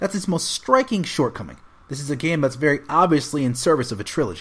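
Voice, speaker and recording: Speaking at a very fast pace, a man with a fairly high voice uses lively intonation and vocal fry. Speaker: voice actor. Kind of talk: video game review narration.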